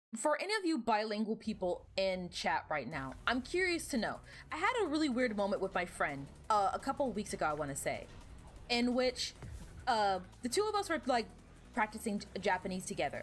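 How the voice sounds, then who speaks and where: A woman's fairly high voice at a fairly quick pace, with very wide pitch swings and music in the background. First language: Spanish. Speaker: video game streamer. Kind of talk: casual live-stream chat while gaming. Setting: live stream.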